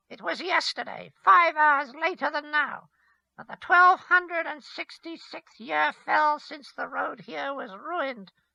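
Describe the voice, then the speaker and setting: Speaking fairly slowly, a man performs a put-on character voice. The pitch is extremely high. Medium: read story. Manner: mocking, menacing.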